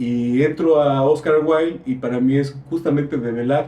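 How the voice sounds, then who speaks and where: A man's fairly high-pitched voice with fairly even intonation, against noticeable background noise. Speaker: visual artist. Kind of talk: casual discussion. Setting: library. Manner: halting.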